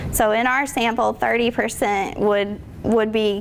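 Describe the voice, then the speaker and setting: Noticeable background noise accompanies a woman speaking at a fairly slow pace with a fairly high pitch. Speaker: student researcher presenting study, military spouse. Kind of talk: research presentation with Q&A.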